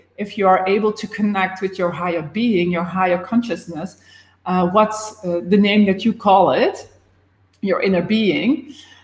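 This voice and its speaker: A woman is talking. There's a somewhat breathy quality to her voice. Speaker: life and business coach. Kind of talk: live stream talk.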